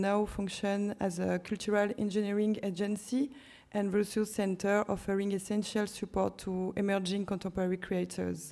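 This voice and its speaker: On a very clean recording with a silent background, a woman with a French accent speaks at medium pitch and a moderate pace, in a dark, mellow tone with monotone, flat intonation. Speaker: curator. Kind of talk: conference presentation. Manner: halting.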